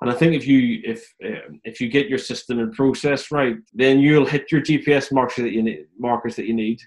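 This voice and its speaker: With a Northern Irish accent, a man speaks at a moderate pace and medium pitch, with ordinary pitch variation and hardly any pauses. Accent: Northern Irish (Belfast). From Northern Ireland, Belfast. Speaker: head of performance at a rugby club. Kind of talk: casual interview. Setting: remote call from home.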